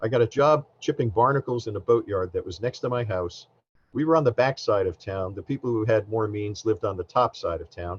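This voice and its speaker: A man speaks with somewhat breathy delivery and ordinary pitch variation. The sound is dry and close with no echo, over a quiet background. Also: medium pitch for a man, fairly quick pace. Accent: American. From US Northeast, New Jersey. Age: 60s. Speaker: government science administrator. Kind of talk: keynote speech. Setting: conference presentation with slides.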